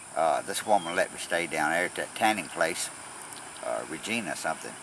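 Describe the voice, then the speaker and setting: A man with a Southern US accent talks at a fairly quick pace over noticeable background noise. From Tennessee, Nashville. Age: 60s. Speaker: long-distance cyclist traveler. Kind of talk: casual interview. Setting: outdoors by the road.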